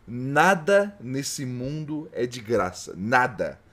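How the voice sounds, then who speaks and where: In a very clean recording with a silent background, a man speaks in an animated tone with lively intonation. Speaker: VTuber streamer. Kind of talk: live gaming stream chat. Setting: home studio live stream.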